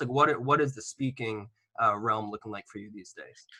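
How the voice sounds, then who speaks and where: His tone bright and sharp, a man talks at a moderate pace. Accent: American. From Massachusetts, Natick. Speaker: podcast host. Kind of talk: podcast interview.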